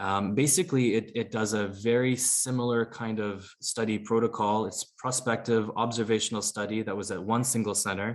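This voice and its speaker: With hardly any pauses, a man talks at a medium pitch and with fairly even intonation. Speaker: emergency physician presenting. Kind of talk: medical lecture. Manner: fast; halting.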